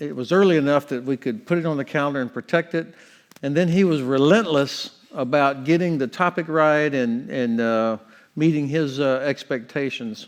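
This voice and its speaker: A man with a Southern US accent, fairly high pitch and ordinary pitch variation. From Florida, US South. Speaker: retired army general. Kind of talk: lecture. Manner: slow.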